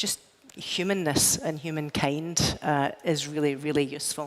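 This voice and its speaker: Over noticeable background noise, a woman with a Scottish accent speaks at a moderate pace, her pitch very deep and low and her intonation monotone and flat. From Scotland. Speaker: tech executive, panel speaker. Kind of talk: panel discussion. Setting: stage with audience.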